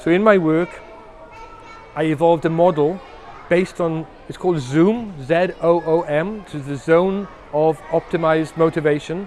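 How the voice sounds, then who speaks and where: A man with a high pitch talks at a moderate pace, his intonation fairly even. Long, frequent pauses break up his speech over noticeable background noise. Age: 60s. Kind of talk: interview. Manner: repetitive, hesitant restarts.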